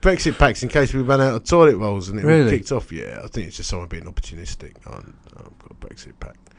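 Against noticeable background noise, a man talks at a medium pitch and a fairly quick pace. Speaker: podcast co-host. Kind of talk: casual, chatty.

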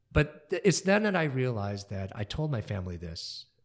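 Very clean recording, silent background, and a somewhat breathy voice. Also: man. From US Midwest, Kalamazoo, Michigan. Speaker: concert pianist. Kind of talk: interview. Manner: animated.

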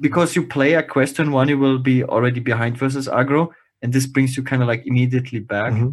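Delivered at a very fast pace, the speech holds very even loudness and fairly even intonation. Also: man, medium pitch for a man. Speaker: podcast co-host. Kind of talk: casual chat.

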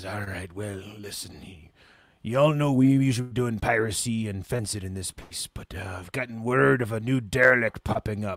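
Using a put-on character voice, a gruff man speaks at medium pitch and a moderate pace, with ordinary pitch variation and big swings in loudness. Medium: actual play. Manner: gruff, uses "be" for verbs.

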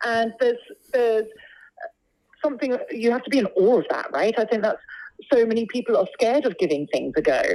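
A woman with a London accent speaks in a fairly high pitch with ordinary pitch variation. Long, frequent pauses break up her speech. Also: fairly quick pace. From London, England. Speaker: opera singer. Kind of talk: casual interview chat.

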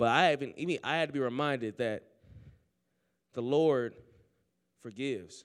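An animated tone at a moderate pace, with ordinary pitch variation and long, frequent pauses, on a very clean recording with a silent background. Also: man, medium pitch for a man. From Oakland, California. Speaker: student preacher. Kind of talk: sermon. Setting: chapel with audience.

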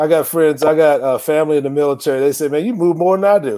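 Over noticeable background noise, a man with an American accent and a fairly high pitch talks at a very fast pace. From Tucson, Arizona. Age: 50s. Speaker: college football coach. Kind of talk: casual interview.

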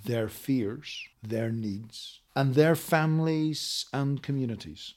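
A man with a Northern Irish accent at a fairly slow pace, with ordinary pitch variation, on a very clean recording with a silent background. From Northern Ireland. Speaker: peace negotiator and politician. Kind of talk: interview. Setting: in person at a conference.

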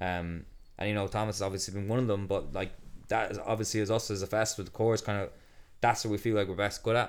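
A man with an Irish accent speaks at a very fast pace with a fairly low pitch and monotone, flat intonation. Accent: Irish (Galway). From Ireland, County Galway. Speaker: festival co-founder and builder. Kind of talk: casual interview chat.

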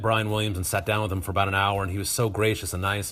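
With an American accent, a man speaks in a somewhat breathy voice at a fairly low pitch. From US West, Northern Nevada. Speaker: high school TV production teacher. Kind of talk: interview conversation. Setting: video call.

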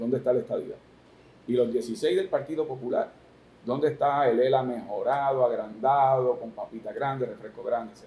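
Speaking at a moderate pace, a man lets his loudness swing widely. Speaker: politician, gubernatorial candidate. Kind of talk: political interview.

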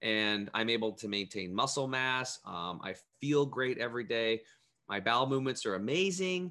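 With an American accent and lively intonation, a man talks in an unremarkable speaking voice at a medium pitch. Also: moderate pace. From US Northwest (Eastern Oregon). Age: 40s. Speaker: health coach. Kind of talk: interview.

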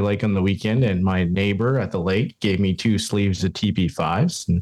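An ordinary speaking voice with a Canadian accent moves at a fairly quick pace. The recording is very clean, with a silent background. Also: man. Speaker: podcast co-host. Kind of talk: casual interview.

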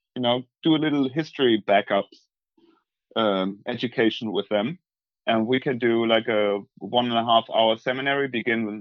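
A man with a German accent speaks at a moderate pace. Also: medium pitch for a man, ordinary pitch variation. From northwest Germany, East Frisia. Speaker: tour guide. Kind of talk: casual remote interview. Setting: video call from countryside home, poor audio.

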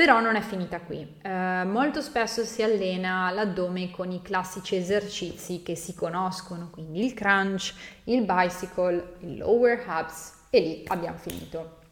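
A woman has an ordinary speaking voice at a medium pitch. She talks at a fairly slow pace with ordinary pitch variation. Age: 20s. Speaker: fitness coach. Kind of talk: podcast monologue.

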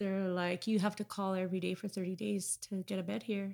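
A woman speaks at a fairly quick pace with a medium pitch, on a very clean recording with a silent background. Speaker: recovering addict. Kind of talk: testimony. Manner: loud.

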